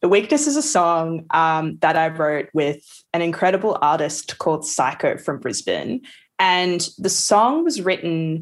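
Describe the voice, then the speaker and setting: A woman speaks with an Australian accent at a fairly slow pace, her pitch fairly low. Her loudness stays very even against a quiet background. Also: ordinary pitch variation. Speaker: music producer. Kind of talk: casual chat.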